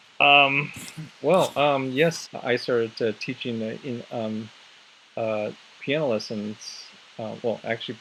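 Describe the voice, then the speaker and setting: Against noticeable background noise, a man with an American accent speaks at a fairly slow pace and medium pitch, with ordinary pitch variation. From US Southwest, Navajo reservation in northern Arizona. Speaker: English and music teacher. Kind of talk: casual group chat. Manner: halting, many repetitions and fillers.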